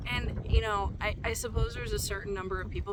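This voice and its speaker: A woman's fairly quick speech with noticeable background noise and audible room echo. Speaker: YouTube creator, spiritual content. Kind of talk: casual vlog talk to camera. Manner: halting, many false starts.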